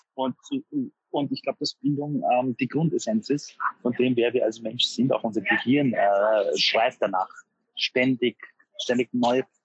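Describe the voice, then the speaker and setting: This man talks at a moderate pace, his pitch at a medium level. The pitch variation is ordinary. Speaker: author and motivational speaker. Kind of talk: interview. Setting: street café.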